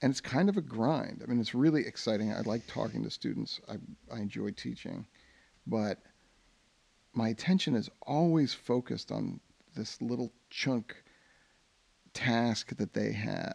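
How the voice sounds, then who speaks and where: With an American accent, a man speaks at a moderate pace with ordinary pitch variation and long, frequent pauses. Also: medium pitch for a man. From suburban New Jersey. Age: 50s. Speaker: teacher and podcast co-host. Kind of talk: casual chat.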